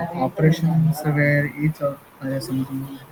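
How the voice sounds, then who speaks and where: Quiet and monotone, a man talks in a fairly high voice with flat intonation over noticeable background noise. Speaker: student. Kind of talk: answering questions in class. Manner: halting.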